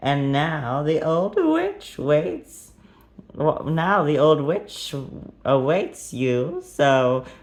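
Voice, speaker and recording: Putting on a character voice, a man speaks at a fairly high pitch and a very slow pace. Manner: creepy, spooky.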